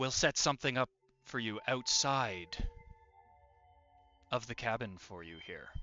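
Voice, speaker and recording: In a put-on character voice, a man talks at a moderate pace and medium pitch, taking long, frequent pauses. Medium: actual play. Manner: folksy, obliging.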